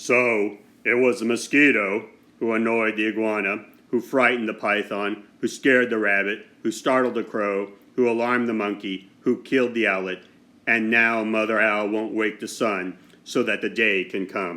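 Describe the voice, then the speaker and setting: A man puts on a character voice at medium pitch and a moderate pace. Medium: read story. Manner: solemn, measured.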